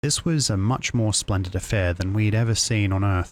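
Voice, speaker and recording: Soft-spoken and fairly even in intonation, the speaker keeps a moderate pace on a very clean recording with a silent background. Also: man. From Australia. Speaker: virtual streamer. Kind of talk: bedtime story reading.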